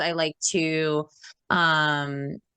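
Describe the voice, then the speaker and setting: Loud and animated, a woman's bright, sharp tone comes across in a dry, close sound with no echo. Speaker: podcast co-host and wedding planner. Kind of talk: casual chat.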